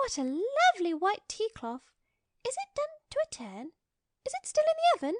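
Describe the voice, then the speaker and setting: A put-on, female-sounding character voice, squeaky and extremely high, swings very widely in pitch at a moderate pace, broken by long, frequent pauses. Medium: read story. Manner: genteel, polite.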